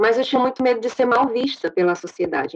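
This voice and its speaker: A woman at a very fast pace with lively intonation. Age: 30s. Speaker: dance and physical education teacher. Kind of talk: testimony.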